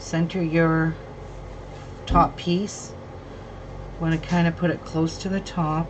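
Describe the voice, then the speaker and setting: A woman's fairly low, monotone voice, flat in intonation, at a very slow pace with long, frequent pauses, over noticeable background noise. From England, Birmingham. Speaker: crafter. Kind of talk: sewing tutorial livestream. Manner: casual.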